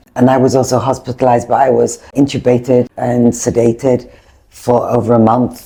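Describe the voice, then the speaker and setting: A woman speaks at a moderate pace in a very deep, low voice. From England. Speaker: spinal cord injury patient, former show jumper. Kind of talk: casual chat.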